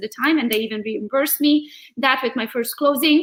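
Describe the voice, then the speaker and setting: A woman talks at a very fast pace in a bright, sharp tone. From Transylvania, Romania (Hungarian). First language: Hungarian. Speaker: real estate agent and social media coach. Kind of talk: interview. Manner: animated.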